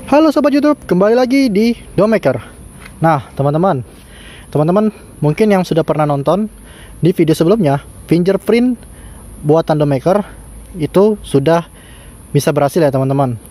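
Speaking at a fairly quick pace with lively intonation, a man with a high pitch leaves long, frequent pauses, his voice dry with no echo. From Indonesia. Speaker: DIY electronics YouTuber. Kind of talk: tutorial. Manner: casual, filler-heavy. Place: garden.

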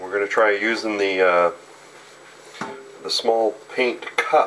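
Over light background noise, the speech unfolds at a very slow pace. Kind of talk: casual tutorial narration. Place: kitchen.

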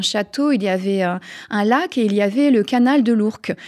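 A woman with a dark, mellow tone and fairly high pitch speaks with ordinary pitch variation against a quiet background. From France. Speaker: author. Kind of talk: interview. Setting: studio. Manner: halting. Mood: calm, smiling. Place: studio. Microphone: studio mic.

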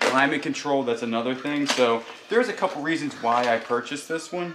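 Noticeable background noise sits behind a man speaking at a fairly quick pace. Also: ordinary pitch variation. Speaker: reseller. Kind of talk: casual vlog chat. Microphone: phone near.

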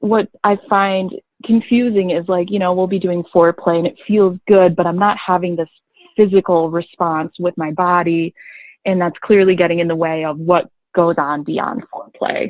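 Her voice is a normal speaking voice, as a woman talks at a moderate pace with a fairly low pitch and fairly even intonation. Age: 20s. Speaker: caller. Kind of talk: call-in question.

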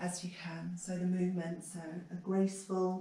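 In a room with audible echo, a woman speaks in a calm, soothing tone with monotone, flat intonation. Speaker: yoga teacher. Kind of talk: guided yoga class, instructing poses and breathing. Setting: home video practice during pandemic isolation. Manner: calm, slow, soothing cueing; somewhat halting with repeated words. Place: home room. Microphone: camera far.

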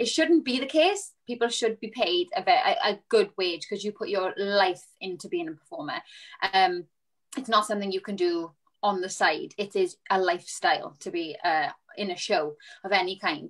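A woman speaks with a south Wales accent and lively intonation against a quiet background. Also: moderate pace. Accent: south Wales (Valleys). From Wales, Rhondda. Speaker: musical theatre performer. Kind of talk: panel discussion. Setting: video call. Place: home room. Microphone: video call.

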